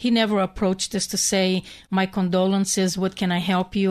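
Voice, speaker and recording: Against a quiet background, a woman with a Hungarian accent talks at a fairly quick pace in a monotone, flat intonation. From Hungary. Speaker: bereaved mother and activist. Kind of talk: radio interview.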